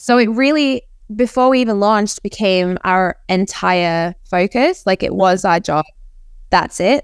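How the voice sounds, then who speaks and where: A plain, everyday voice from a woman, medium in pitch with ordinary variation, at a fairly slow pace, on a very clean recording with a silent background. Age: 30s. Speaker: NFT project founder and artist. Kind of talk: interview.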